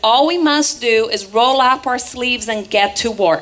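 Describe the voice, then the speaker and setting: A fairly high-pitched woman speaks with ordinary pitch variation amid noticeable background noise. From Brazil, Rio de Janeiro. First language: Portuguese. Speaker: political activist. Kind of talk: political rally speech. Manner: animated.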